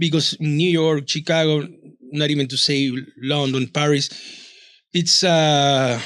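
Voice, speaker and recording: The speaker has a Peruvian accent and a monotone, flat intonation. Long, frequent pauses break up the speech. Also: man, fairly high pitch for a man. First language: Spanish. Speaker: author and publisher. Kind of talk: interview conversation. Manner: halting, repeats words.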